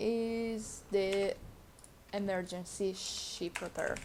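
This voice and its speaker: A woman talks with a non-native accent. Her pace is very slow. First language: not English. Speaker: video game guide creator. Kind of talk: tutorial. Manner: halting.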